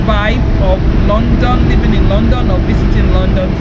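Loud background noise surrounds a woman talking at a fairly slow pace. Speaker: vlogger. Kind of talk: casual vlog chat. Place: street. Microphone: phone near.

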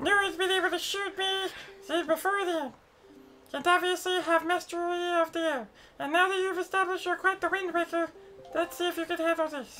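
A squeaky, extremely high-pitched put-on character voice at a fairly quick pace, with music in the background. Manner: boastful, challenging.

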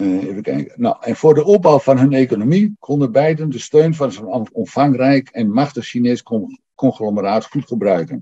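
With hardly any pauses, a man speaks in a dark, mellow tone against a quiet background. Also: lively intonation, moderate pace. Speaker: historian. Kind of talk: lecture. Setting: stage with audience. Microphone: video call.

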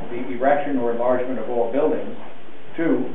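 Talking fairly quickly, a man is heard amid noticeable background noise and an audible echo from the room. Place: hall. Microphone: camera far.

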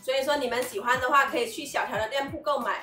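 A raised, projected voice with audible room echo and faint music in the background. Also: woman. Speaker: vlogger reviewing a product. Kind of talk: casual vlog chat. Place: home room. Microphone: camera far.

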